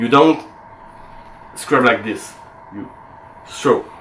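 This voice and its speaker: A voice with a non-native accent is heard over noticeable background noise. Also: man. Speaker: antique sword collector. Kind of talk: tutorial demonstration to camera. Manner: hesitant, many fillers.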